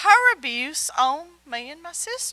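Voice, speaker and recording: A woman's raised, projected voice at a very slow pace, with very wide pitch swings. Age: 60s. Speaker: Bible teacher. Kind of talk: sermon.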